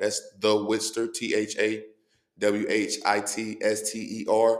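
Speaking rather slowly, a man's voice sits at a mid-range pitch. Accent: American. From Cincinnati, Ohio (east side). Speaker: rapper. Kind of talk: casual chat.

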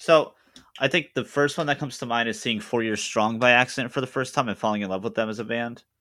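Very cleanly recorded against a silent background, a man with an American accent speaks in a bright, sharp tone with ordinary pitch variation. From Boston. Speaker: podcast co-host. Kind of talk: casual chat.

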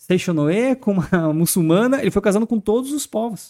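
A man's dark, mellow voice makes very wide pitch swings at a moderate pace. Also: dry, close sound with no echo. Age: 30s. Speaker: former tattoo artist turned evangelical speaker. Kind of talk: casual chat.

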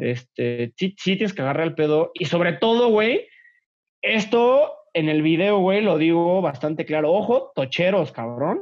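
A man speaks at a fairly slow pace in a high pitch. His intonation is lively. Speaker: former college athlete, office worker. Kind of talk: casual chat. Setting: video call.

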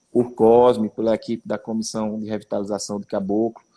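Dark, mellow tone from a man at a medium pitch. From Pernambuco sertão, Brazil. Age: 30s. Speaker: mayor. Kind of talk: live-stream interview.

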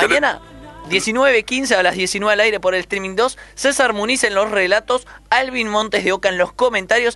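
Background noise is noticeable throughout. The delivery is at a moderate pace. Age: 30s. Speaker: basketball radio commentator. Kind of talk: casual chat.

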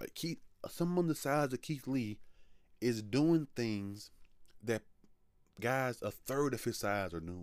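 A man speaking very slowly with lively intonation and long, frequent pauses. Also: medium pitch for a man. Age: 20s. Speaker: wrestling podcast host. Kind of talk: solo commentary podcast.

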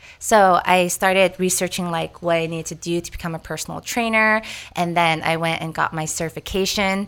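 A woman with an ordinary speaking voice, fairly low pitch and fairly even intonation, on a very clean recording with a silent background. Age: 30s. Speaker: fitness instructor. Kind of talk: casual interview.

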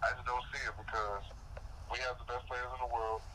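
The speaker talks at a very fast pace with an American accent. Background noise is noticeable. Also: man. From DMV area, US. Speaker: sports commentator co-host.

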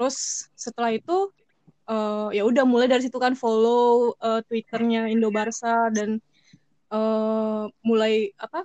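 In a dry, close recording with no echo, a woman with a dark, mellow tone and fairly high pitch speaks at a very slow pace with fairly even intonation. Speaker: fan club treasurer. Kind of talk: casual interview.

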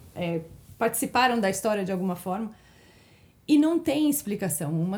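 A woman with a fairly high pitch and lively intonation speaks in a somewhat breathy voice with a dark, mellow tone. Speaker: interior designer. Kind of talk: testimony.

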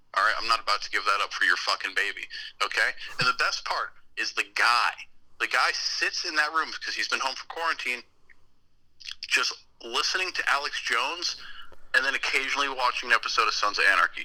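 A man speaks at a fairly quick pace, broken up by long, frequent pauses. Noticeable background noise runs underneath. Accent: American. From Connecticut, US. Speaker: podcast host. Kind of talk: casual chat.

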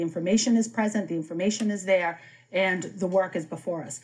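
A woman with an American accent speaks at a fairly quick pace. Her voice is somewhat breathy, with ordinary pitch variation. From Boston. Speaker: city councillor. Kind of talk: political debate.

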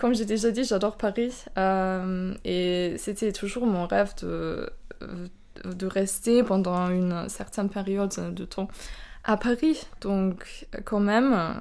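A woman with a German accent speaks very slowly at a medium pitch with fairly even intonation. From Austria, Burgenland. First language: German (speaking French). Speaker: exchange student. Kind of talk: casual interview.

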